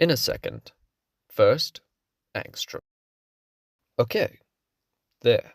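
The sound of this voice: Doing a put-on character voice with vocal fry, a man speaks at a very slow pace with big pitch swings, in a dry, close sound with no echo on a very clean recording with a silent background. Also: medium pitch for a man.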